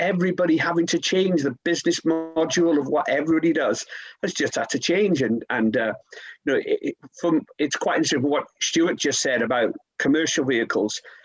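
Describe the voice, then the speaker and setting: A man talks over music in the background. His loudness stays very even, with ordinary pitch variation. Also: fairly high pitch for a man, fairly quick pace. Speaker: head auctioneer. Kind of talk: podcast conversation about the auction market.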